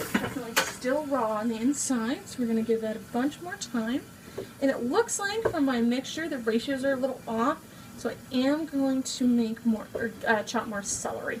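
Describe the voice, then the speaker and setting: High pitch from a woman, set against noticeable background noise. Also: ordinary pitch variation, moderate pace. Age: 20s. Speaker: amateur home cook vlogger. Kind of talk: casual cooking tutorial. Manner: chatty, informal.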